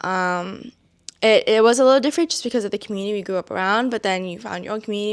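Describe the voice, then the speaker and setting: A Vietnamese accent with ordinary pitch variation, on a very clean recording with a silent background. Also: woman. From Massachusetts (Brockton), US East Coast. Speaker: student podcast co-host. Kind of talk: casual chat.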